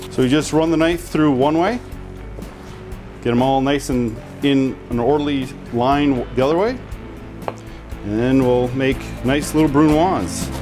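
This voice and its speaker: Over clear music in the background, the speaker goes at a fairly slow pace with long, frequent pauses, very even loudness and ordinary pitch variation. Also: man. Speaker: chef host. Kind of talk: cooking tutorial. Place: kitchen. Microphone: lapel.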